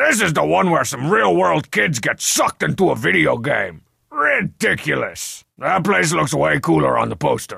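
A man speaks in a put-on character voice with a raspy edge. His pace is moderate, with hardly any pauses. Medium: video game dub. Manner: cocky, sarcastic.

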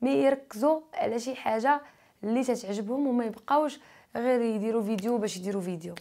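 Speaking at a moderate pace, a woman with a fairly high pitch and a dark, mellow tone uses lively intonation. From Morocco. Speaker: YouTuber; interviewee. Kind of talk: interview. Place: studio. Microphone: lapel.

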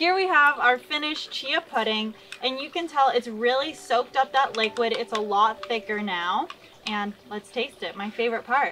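Light background noise sits behind a woman's voice. She speaks at a moderate pace with a high pitch. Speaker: recipe host. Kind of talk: tutorial. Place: garden.

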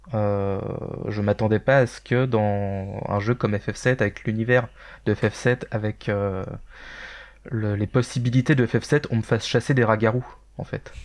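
A man's fairly low-pitched voice at a fairly slow pace, with fairly even intonation and long, frequent pauses, in a very clean recording with a silent background. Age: 30s. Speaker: gaming community member, podcast panelist. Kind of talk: casual chat.

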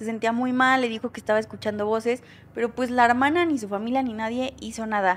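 Speed defines this woman's delivery, which is very fast. Her pitch is high. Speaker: true crime storyteller. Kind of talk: casual storytelling commentary. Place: home room. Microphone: studio mic.

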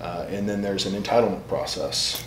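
A man is speaking over noticeable background noise. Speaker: guest. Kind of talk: interview answer. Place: office.

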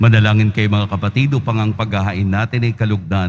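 A man with a normal speaking voice moves at a fairly quick pace, his pitch fairly low. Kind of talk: priest's solemn liturgical invitation to prayer, Tagalog Mass. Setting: church, livestreamed Mass. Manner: measured, formal priestly intonation.

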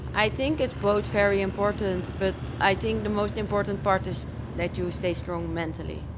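Over noticeable background noise, a woman speaks at a moderate pace with a Dutch accent. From Netherlands, Zeeland; Netherlands. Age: 20s. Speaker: motocross rider; interviewee. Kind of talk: interview. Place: tent. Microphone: handheld.

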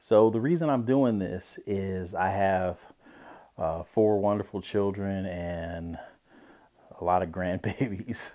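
Speaking very slowly, a man with a fairly low pitch and a dark, mellow tone shows ordinary pitch variation over a quiet background. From grew up all over, military family. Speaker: podcast co-host, former musician; podcast co-host. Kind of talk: personal introduction monologue; personal introduction to camera. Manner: casual, filler-heavy. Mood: calm, sincere, reflective. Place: studio. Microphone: lapel.

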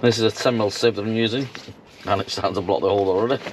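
Delivered at a very fast pace, the speech keeps a fairly even intonation. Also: man, fairly low pitch for a man.

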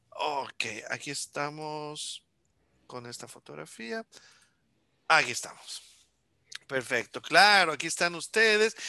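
Over a quiet background, a man with a fairly high pitch, lively intonation and a bright, sharp tone speaks at a very slow pace with long, frequent pauses in a dry sound with no echo. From Honduras. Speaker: music school artistic director and interviewer; interviewer. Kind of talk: casual interview. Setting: video call. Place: home room. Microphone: headset.

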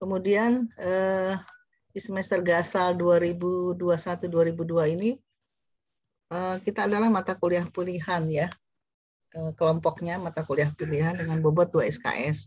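The voice is somewhat breathy and moves at a fairly slow pace with long, frequent pauses. Intonation stays fairly even, and the sound is dry with no echo. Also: woman, fairly low pitch for a woman. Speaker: course coordinator, lecturer; lecturer. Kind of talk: lecture. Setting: video call. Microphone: webcam.

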